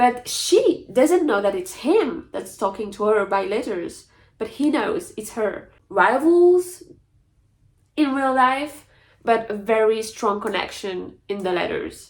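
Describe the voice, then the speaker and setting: Her pitch fairly high, a woman speaks very slowly with very wide pitch swings. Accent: French. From France. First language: French. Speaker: book youtuber. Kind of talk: casual chat. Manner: animated.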